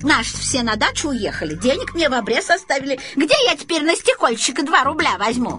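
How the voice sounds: Faint music plays behind a woman's put-on character voice, high-pitched and bright, sharp in tone, with big pitch swings. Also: fairly quick pace.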